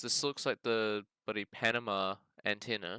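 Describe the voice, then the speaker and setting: In a New Zealand accent, a man speaks very slowly at medium pitch with a bright, sharp tone. The recording is very clean with a silent background and a dry, close sound with no echo. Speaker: geoguessr gaming youtuber. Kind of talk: gameplay commentary. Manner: casual, thinking aloud.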